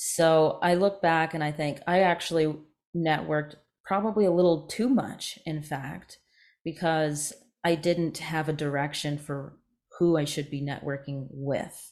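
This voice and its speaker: A fairly slow delivery with an American accent, in a very clean recording over a silent background. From Canada and US (Ontario, Maryland). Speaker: journalist and media founder. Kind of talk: interview conversation.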